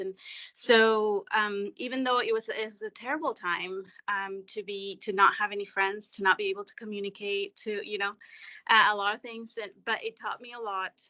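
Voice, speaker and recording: A woman with a Spanish accent and a bright, sharp tone, medium pitch, fairly even intonation and a moderate pace, against a quiet background. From Mexico. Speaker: webinar participant. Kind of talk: personal story.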